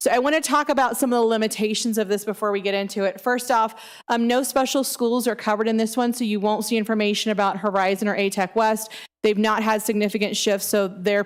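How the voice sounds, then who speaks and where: Very fast and very even in loudness, a woman speaks at a fairly high pitch with fairly even intonation. The recording is very clean with a silent background. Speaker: school district staff presenter. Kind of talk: board meeting presentation. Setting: district office meeting room.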